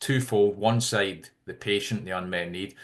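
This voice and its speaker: Against a quiet background, a man with a Scottish accent talks at a moderate pace. His fairly low pitch has a bright, sharp tone and fairly even intonation. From Scotland. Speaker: healthcare tech CEO. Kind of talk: interview.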